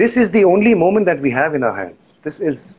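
This man talks at a fairly quick pace, his pitch swinging very widely, with vocal fry throughout. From India (Lucknow), then Zambia. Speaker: voice actor and singer. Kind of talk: casual interview.

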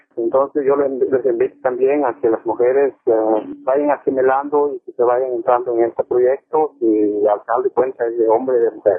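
Speaking at a fairly quick pace, a man keeps a medium pitch. His intonation stays monotone and flat. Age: 40s. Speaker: coffee farmer. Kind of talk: interview. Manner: halting.

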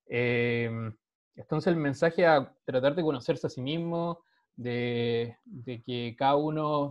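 Pitched fairly high, a man talks with fairly even intonation. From Chile. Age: 30s. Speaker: social entrepreneur, startup sales director. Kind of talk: interview. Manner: halting, frequent repetitions.

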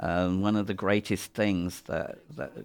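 In a very clean recording with a silent background, a man with an English accent speaks at a very deep, low pitch and a fairly slow pace, his intonation monotone and flat. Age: 60s. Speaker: makeup effects designer. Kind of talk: audio commentary. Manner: halting.

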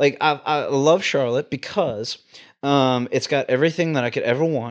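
Ordinary pitch variation runs through a man's fairly high voice, a normal speaking voice with an American accent. He keeps a moderate pace over a quiet background. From Texas, Houston. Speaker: travel ICU nurse. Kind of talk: casual chat.

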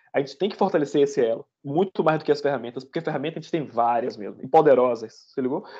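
A man's dark, mellow voice, fairly high in pitch, over a quiet background. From Salvador, Bahia, Brazil. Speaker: software developer, podcast co-host. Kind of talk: casual chat.

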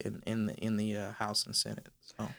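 A man with an American accent, fairly quick pace and fairly low pitch, in a very clean recording against a silent background. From California, Inland Empire. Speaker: police officer and advocate. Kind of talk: interview.

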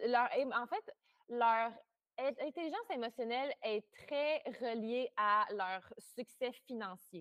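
At a very slow pace with long, frequent pauses, a woman speaks in a high pitch with lively intonation. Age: 20s. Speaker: astrologer. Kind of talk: interview.

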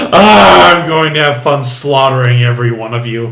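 Over loud background noise, a man uses a put-on character voice. He keeps a moderate pace and medium pitch. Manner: menacing, laughing.

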